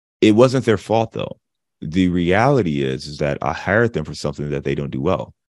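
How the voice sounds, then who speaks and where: Over a quiet background, a man with a very deep, low pitch and vocal fry makes very wide pitch swings. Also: big swings in loudness. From Cleveland, Ohio (US Midwest). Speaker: real estate investor. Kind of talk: interview.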